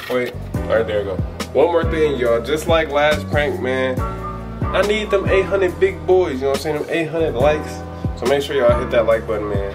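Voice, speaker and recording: The speaker keeps a moderate pace while clear music sounds in the background. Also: man. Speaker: couple vlogger. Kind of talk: casual vlog chat. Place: home room. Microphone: phone near.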